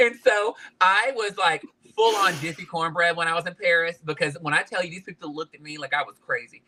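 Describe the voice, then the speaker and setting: A man's raised, projected voice in a Southern US accent, full of lively intonation. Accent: Southern twang. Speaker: podcast guest, fashion industry worker. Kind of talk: casual interview chat. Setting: live-streamed podcast interview.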